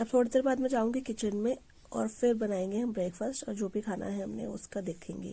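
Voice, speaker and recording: At a moderate pace, a woman with a fairly high pitch and a dark, mellow tone sounds somewhat breathy, her intonation fairly even. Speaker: family vlogger, mother. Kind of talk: casual home vlog narration. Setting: at home.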